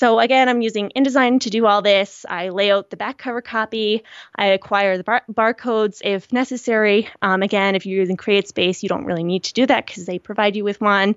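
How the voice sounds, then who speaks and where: A woman with a Canadian accent, an ordinary speaking voice, medium pitch, a fairly quick pace and fairly even intonation. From Canada, rural Nova Scotia. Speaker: book designer and self-published author. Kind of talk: interview. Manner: casual with frequent fillers.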